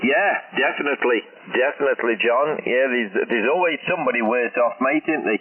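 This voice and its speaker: Noticeable background noise sits behind a man who speaks at a fairly quick pace with very even loudness. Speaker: amateur radio operator. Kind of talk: ham radio contact. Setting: radio link.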